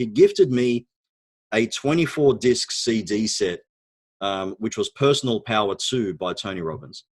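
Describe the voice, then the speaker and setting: With an Australian accent, a man speaks at a moderate pace and medium pitch. The sound is dry and close, with no echo. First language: Arabic. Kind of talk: interview storytelling. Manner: hesitant, many fillers.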